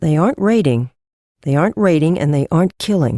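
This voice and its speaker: Middle-pitched, put-on character voice. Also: fairly quick pace. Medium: read story. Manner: thoughtful.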